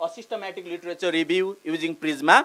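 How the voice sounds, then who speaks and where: At a moderate pace, a man speaks in a high voice with a bright, sharp tone. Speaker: PhD scholar and university lecturer. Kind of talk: conference presentation. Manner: hesitant, many fillers.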